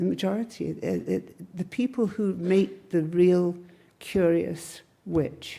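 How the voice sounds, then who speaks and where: A woman speaks with an English accent. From Cheshire, England. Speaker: witchcraft priestess and teacher. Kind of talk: live Q&A answers to an audience. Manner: casual, wry.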